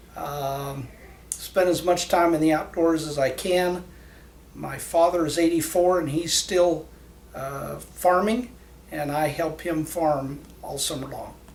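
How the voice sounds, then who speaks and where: Ordinary pitch variation marks this very slow speech, heard with audible room echo and noticeable background noise. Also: man. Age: 60s. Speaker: patient. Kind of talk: testimony. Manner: halting.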